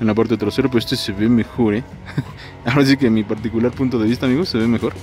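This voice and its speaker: A man talks at a very fast pace with fairly even intonation, and clear music plays in the background. The sound is dry, with no echo. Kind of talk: casual vlog chat. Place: shop. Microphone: phone near.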